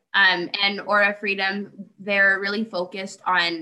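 A woman's unremarkable speaking voice at a fairly slow pace, medium in pitch with ordinary pitch variation. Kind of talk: casual discussion podcast.

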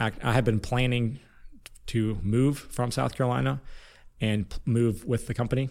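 A man with an American accent, medium pitch and moderate pace, in a very clean recording with a silent background. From Northwest Ohio, US Midwest. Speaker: business owner. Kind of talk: interview.

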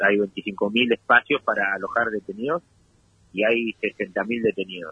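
A man with a normal speaking voice talks at a fairly slow pace, medium in pitch and with ordinary pitch variation. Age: 40s. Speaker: prisoner and university student. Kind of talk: interview. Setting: phone call.

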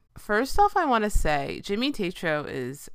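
On a very clean recording with a silent background, a woman talks in an American accent. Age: 30s. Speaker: podcast host. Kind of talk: casual solo monologue.

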